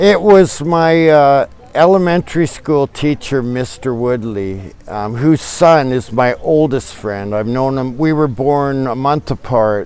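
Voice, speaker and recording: Over music in the background, a man with a Canadian accent speaks at a fairly slow pace, his fairly high pitch carrying lively intonation. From Canada, British Columbia. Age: 60s. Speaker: traveler. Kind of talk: casual interview chat. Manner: halting.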